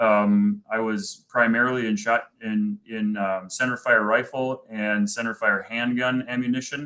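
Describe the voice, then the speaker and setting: Speaking at a fairly slow pace with hardly any pauses, a man with a strong Minnesotan accent uses a medium pitch, fairly even intonation and a bright, sharp tone. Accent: thick Minnesota. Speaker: manufacturing executive and army veteran. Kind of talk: presentation. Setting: virtual event. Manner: halting, many fillers.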